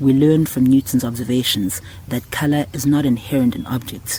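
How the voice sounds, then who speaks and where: Speaking with a South African accent, this voice keeps a fairly even intonation. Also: man. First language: isiZulu. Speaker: podcast host. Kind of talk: scripted narration.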